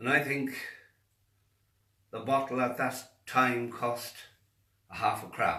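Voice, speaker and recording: A man with an Irish accent speaks at a very slow pace and medium pitch, with long, frequent pauses. His intonation is monotone and flat, and room echo is audible. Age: 70s. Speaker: faith healer. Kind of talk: monologue to camera.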